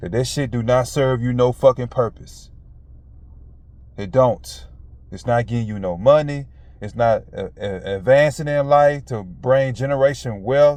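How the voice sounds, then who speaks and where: This man speaks at a fairly slow pace with an animated tone and a medium pitch. His loudness swings widely, while his pitch varies in an ordinary way. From US South. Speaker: motivational vlogger. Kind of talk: casual motivational monologue. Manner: animated, emphatic.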